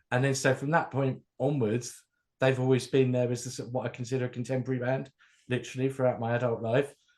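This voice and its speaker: Talking at a very fast pace, a man with a southern English accent keeps a medium pitch. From southern England, near London. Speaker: music fan and DJ. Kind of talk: casual chat.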